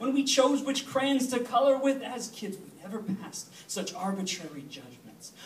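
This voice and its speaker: Amid noticeable background noise, a man with an American accent speaks at an extremely high pitch. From US suburbs. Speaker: slam poet. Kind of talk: spoken word poetry performance. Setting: stage with audience.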